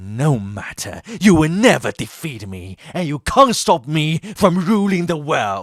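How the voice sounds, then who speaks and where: A man puts on a character voice at a fairly high pitch, with very wide pitch swings. His pace is fairly slow, yet he barely pauses. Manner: exaggerated, over-the-top.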